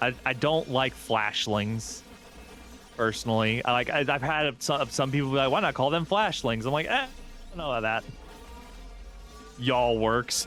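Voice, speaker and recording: With music in the background, a man with an American accent speaks at a medium pitch and moderate pace, using ordinary pitch variation and long, frequent pauses. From US South. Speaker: VTuber streamer. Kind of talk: live gameplay stream chat. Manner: animated.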